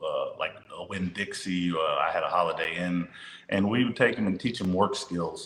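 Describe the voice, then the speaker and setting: Against noticeable background noise, a man with a Louisiana accent talks at a moderate pace. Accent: Louisiana Southern US. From northern Louisiana (Monroe). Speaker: high school basketball coach. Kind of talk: interview conversation.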